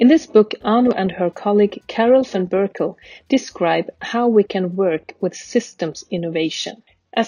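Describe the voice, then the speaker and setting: With a dry, close sound and no echo, a woman speaks at a moderate pace and medium pitch, using a plain, everyday voice with ordinary pitch variation. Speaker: podcast host. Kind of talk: interview conversation.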